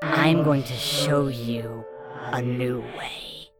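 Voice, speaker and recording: With loud music in the background, a put-on character voice at a low-to-middle pitch speaks at a very slow pace. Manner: wicked, sinister.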